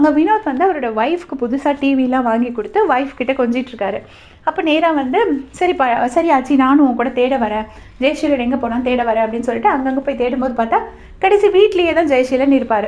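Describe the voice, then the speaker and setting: The woman's high voice moves with lively intonation. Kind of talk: web series episode review recap. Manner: casual, conversational.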